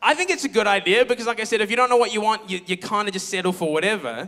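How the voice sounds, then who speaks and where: A man speaks in a raised, projected voice with a bright, sharp tone, talking very fast and sounding animated. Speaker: pastor. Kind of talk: sermon. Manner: loud.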